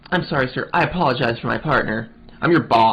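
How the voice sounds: Intonation rises and falls in a lively way. The voice is a natural reading voice.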